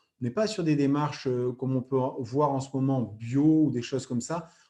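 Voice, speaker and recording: A man's dark, mellow tone at a moderate pace, with ordinary pitch variation over a quiet background. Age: 30s. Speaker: former athlete and product distributor. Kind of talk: sales pitch. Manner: hesitant with frequent fillers.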